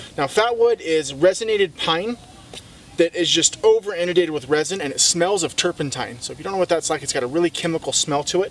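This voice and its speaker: A high-pitched man talks at a very fast pace with ordinary pitch variation. Background noise is noticeable. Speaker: outdoor survival instructor. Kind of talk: tutorial. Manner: quiet, hushed.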